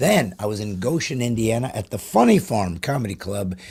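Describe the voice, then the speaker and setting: A man with a dark, mellow tone, somewhat breathy, at a medium pitch with lively intonation. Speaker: comedian. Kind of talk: casual chat. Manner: slow, brooding delivery.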